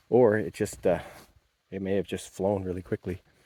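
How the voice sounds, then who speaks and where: In a dry, close sound with no echo, a man mumbles at a moderate pace with a very deep pitch, a dark, mellow tone and monotone, flat intonation. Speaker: outdoor vlogger. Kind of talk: casual vlog narration. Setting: outdoors, walking trails. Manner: mumbling; hesitant, many fillers.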